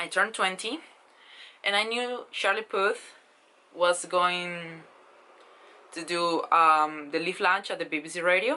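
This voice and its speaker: With a Spanish accent and a bright, sharp tone, a woman speaks at a fairly slow pace and medium pitch, with ordinary pitch variation against a quiet background. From Spain. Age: 20s. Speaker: vlogger. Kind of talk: casual vlog storytelling. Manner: hesitant, with fillers.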